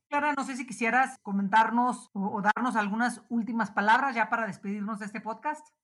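A woman with an unremarkable speaking voice talks fairly quickly at a fairly high pitch. Her intonation is fairly even, though her loudness swings widely. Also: hardly any pauses. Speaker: podcast host. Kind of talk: interview conversation.

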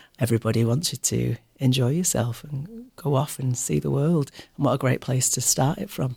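A man's medium-pitched, somewhat breathy voice with a Mancunian accent, dark and mellow in tone, at a moderate pace with ordinary pitch variation. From Manchester, England. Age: 40s. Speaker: airline cabin crew. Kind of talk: interview.

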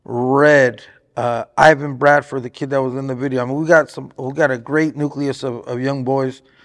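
Intonation stays monotone and flat in this American accent, captured in a very clean recording with a silent background. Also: man. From Southern California, Riverside area. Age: 40s. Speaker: boxing trainer and manager. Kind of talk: interview. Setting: boxing gym.

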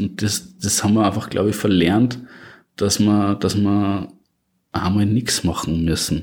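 A man with a slight Austrian accent and a fairly low pitch, at a moderate pace, on a very clean recording with a silent background. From Upper Austria. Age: 20s. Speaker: podcast guest, single in advertising. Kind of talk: casual interview chat. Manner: halting, repeats words.

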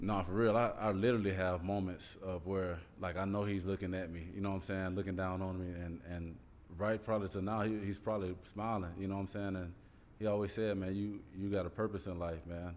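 A man speaks at a very deep, low pitch and a fairly quick pace. His intonation is monotone and flat. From Columbus, Georgia. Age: 40s. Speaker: former NFL player. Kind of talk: casual interview. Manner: laughs often.

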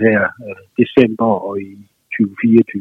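A man speaks with a medium-pitched voice. His intonation stays fairly even. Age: 50s. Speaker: musician and author. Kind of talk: phone interview. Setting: phone call. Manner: hesitant, many fillers.

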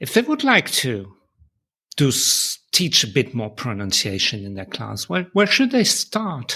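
A man's voice in a Dutch accent, fairly slow, with big swings in loudness and long, frequent pauses. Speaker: podcast host and publisher. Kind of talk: interview chat. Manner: friendly, laughs often.

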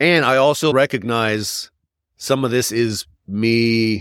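A man speaks in a normal speaking voice with an American accent, at a medium pitch with ordinary pitch variation. The sound is dry and close with no echo, in a very clean recording over a silent background. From Oklahoma. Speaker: podcast co-host. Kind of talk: casual chat.

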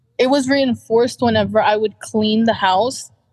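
This is a woman with an ordinary speaking voice. Her pitch is fairly high. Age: 20s. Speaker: counseling client. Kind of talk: counseling session.

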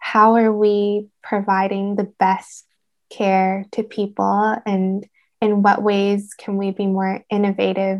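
Monotone, flat intonation in a Canadian accent at a very slow pace, over a quiet background. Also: woman, medium pitch for a woman. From Canada, Vancouver. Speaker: speech therapy student. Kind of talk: interview.

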